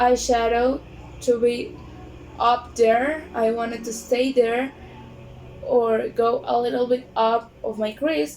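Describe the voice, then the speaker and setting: Music plays in the background as a woman with a Spanish accent speaks at a very slow pace. Her pitch is high, with ordinary pitch variation. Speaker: beauty vlogger. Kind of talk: tutorial. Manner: halting.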